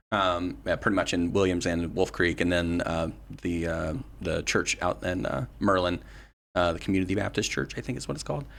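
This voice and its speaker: A man with an American accent, very deep and low in pitch with vocal fry, at a fairly quick pace with ordinary pitch variation, on a very clean recording with a silent background. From West Virginia. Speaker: political candidate and activist. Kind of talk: casual interview.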